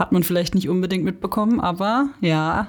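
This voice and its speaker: Lively intonation marks this woman's delivery. She has a normal speaking voice at a medium pitch. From Stutensee-Büchig, Baden. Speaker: former editorial team member, teacher trainee. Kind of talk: casual chat.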